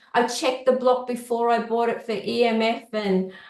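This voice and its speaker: In an Australian accent, a woman with a high pitch talks at a moderate pace amid audible room echo. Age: 60s. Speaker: client sharing recovery story. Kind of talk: podcast interview, personal testimony. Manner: hesitant with fillers.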